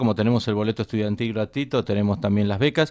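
Against a quiet background, a man speaks very fast with fairly even intonation. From Argentina. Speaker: politician, governor-elect; politician. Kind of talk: radio interview. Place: studio. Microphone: studio mic.

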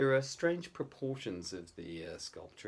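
Moderate pace from a male speaker. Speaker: amateur history commentator. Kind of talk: lecture. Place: home room. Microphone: phone near.

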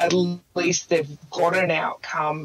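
Noticeable background noise accompanies a woman speaking with an Australian accent. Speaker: mindset coach, former nurse. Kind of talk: casual chat.

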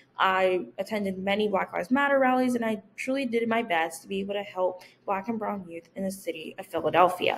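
A woman speaks at a fairly quick pace with hardly any pauses and ordinary pitch variation, with light background noise behind her. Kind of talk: persuasive speech presentation. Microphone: webcam.

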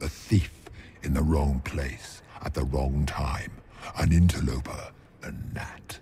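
A man puts on a character voice, his pitch extremely low and his tone dark and mellow. He goes at a slow pace with fairly even intonation.

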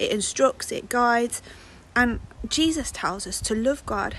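A woman's voice recorded dry with no echo, though noticeable background noise is present. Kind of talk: bible story talk to children. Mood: warm, gentle. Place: garden. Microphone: phone near.

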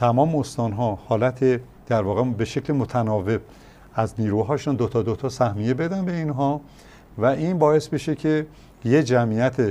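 Speaking at a moderate pace, a man with a medium-pitched voice and a dark, mellow tone uses ordinary pitch variation. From Kermanshah, western Iran; Iran. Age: 60s. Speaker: former sports federation president; guest. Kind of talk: studio interview. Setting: studio. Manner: formal. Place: studio. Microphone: lapel.

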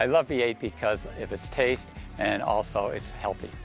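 A man speaks at a moderate pace with ordinary pitch variation while music plays in the background. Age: 60s. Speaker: skydiver. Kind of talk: interview answer.

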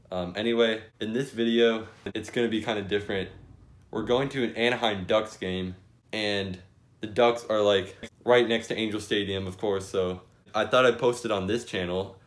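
The man has a fairly low pitch and fairly even intonation at a moderate pace. He has an unremarkable speaking voice. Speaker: sports vlogger. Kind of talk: casual vlog chat. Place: home room. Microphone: phone near.

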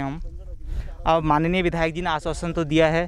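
This man's voice sits high in pitch. His intonation is monotone and flat. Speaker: college student. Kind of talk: street interview.

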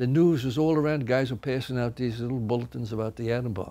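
This man has a dark, mellow tone. He talks at a fairly quick pace with ordinary pitch variation. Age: 90s. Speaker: war veteran. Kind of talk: testimony; interview answer. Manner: halting. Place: studio.

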